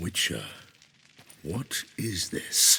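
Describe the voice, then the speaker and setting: A man performs a voice. It is a cartoonish character voice. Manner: formal, intense.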